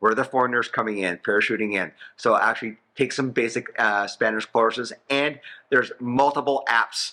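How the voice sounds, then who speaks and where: Speaking in a normal speaking voice with a Canadian accent, a man keeps a moderate pace, a medium pitch and fairly even intonation. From Canada. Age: 60s. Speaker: financial planner, expat. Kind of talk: interview.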